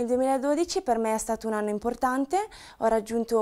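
A woman's fairly high voice shows ordinary pitch variation, set against a quiet background. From northern Italy, Brescia province; Italy. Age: 20s. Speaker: professional cyclist. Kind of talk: self-introduction to camera. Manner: some hesitation fillers. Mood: calm, grateful. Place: empty room. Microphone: lapel.

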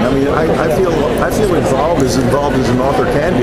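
A man at a fairly quick pace, with crowd noise in the background. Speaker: interviewee. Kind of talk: interview answer. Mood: relaxed, reflective, amused. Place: hall.

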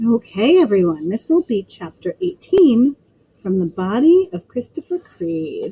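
A passage is read aloud in a natural voice.

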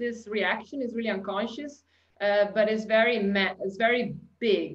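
A woman with an Italian accent and a fairly high pitch. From Italy. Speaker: customer experience consultant. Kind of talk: webinar presentation. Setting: video call. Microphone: webcam.

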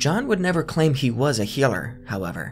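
Music plays in the background as a man talks at a moderate pace. His intonation is lively. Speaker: documentary narrator. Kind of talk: commentary.

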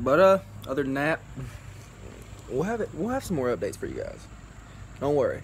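Talking at a fairly quick pace but with long, frequent pauses, a man with a Southern US accent is heard over light background noise. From US South. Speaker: car vlogger; car restoration vlogger. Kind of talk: casual chat. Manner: loud. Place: garden. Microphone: phone near.

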